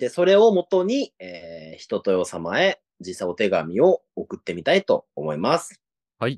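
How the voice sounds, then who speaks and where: At a fairly slow pace, a man talks at a medium pitch with very wide pitch swings, in a dry, close sound with no echo. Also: big swings in loudness. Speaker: podcast host. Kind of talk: casual comedic chat. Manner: animated, laughs often.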